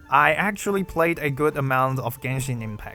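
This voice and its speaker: A man with a Mandarin accent at medium pitch and moderate pace, ordinary pitch variation, music in the background. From China. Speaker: gaming YouTuber. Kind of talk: scripted Q&A narration.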